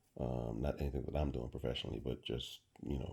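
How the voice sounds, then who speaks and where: Very deep, low pitch from a man, with a dark, mellow tone and vocal fry. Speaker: truck driver and hobbyist mic reviewer. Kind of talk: casual unboxing monologue. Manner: halting, many fillers and repeats.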